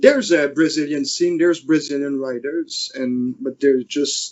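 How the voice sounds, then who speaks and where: This man has a slight French accent and a fairly high pitch. He speaks at a fairly slow pace. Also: ordinary pitch variation. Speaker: fingerboarder and YouTuber. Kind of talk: casual interview chat. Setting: podcast interview. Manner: halting, many restarts.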